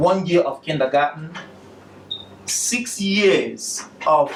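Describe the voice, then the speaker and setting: Against noticeable background noise, a man with a Nigerian accent speaks in a high voice with ordinary pitch variation. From southeastern Nigeria (Aba). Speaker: educational technology specialist and graduate student. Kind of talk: presentation.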